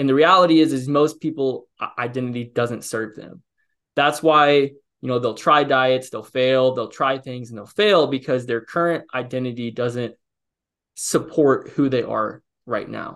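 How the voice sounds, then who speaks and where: In a Midwestern American accent, a man talks at a medium pitch and a moderate pace. His pitch variation is ordinary. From US Midwest, Illinois. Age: 20s. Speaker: fitness coach. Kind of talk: podcast interview. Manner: halting, self-correcting.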